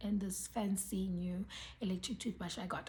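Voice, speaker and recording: Medium in pitch, a woman's voice carries a dark, mellow tone and comes across somewhat breathy. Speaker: beauty and lifestyle vlogger. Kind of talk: casual vlog talk to camera. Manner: hesitant, many ums.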